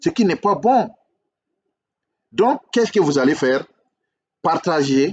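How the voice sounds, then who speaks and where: Moving very slowly, a man speaks at a high pitch with very wide pitch swings. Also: dry, close sound with no echo. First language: English (speaking French). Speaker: relationship coach, YouTuber. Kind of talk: video monologue, critique and subscribe appeal. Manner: hesitant, repetitive.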